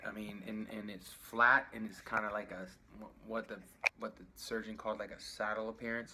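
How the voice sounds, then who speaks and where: Mumbling at a moderate pace. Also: man. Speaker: patient sharing surgery recovery. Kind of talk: video diary.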